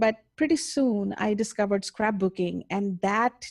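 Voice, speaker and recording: A woman with an Indian accent. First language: Indian language. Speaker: mixed media artist. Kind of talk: interview.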